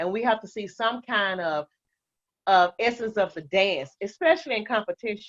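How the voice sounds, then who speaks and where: Lively intonation from a woman with an American accent, medium pitch and a moderate pace. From Fort Worth, Texas. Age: 60s. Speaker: dance instructor. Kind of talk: interview conversation.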